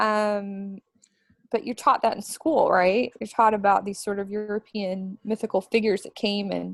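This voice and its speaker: Medium-pitched woman with a Midwestern American accent, big swings in loudness and a moderate pace, in a dry, close sound with no echo. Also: fairly even intonation. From US Midwest, Missouri. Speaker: author. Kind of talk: interview.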